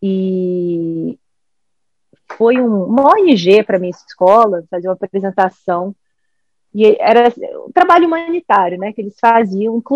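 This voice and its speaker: A woman of medium pitch talks at a fairly slow pace with lively intonation and long, frequent pauses. The sound is dry and close, with no echo. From Brazil. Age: 40s. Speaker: governance specialist. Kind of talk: casual chat.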